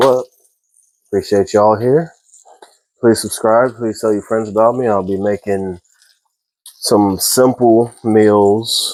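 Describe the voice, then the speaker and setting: A man speaks with ordinary pitch variation. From Texas. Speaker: home cooking video maker. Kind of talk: casual cooking tutorial.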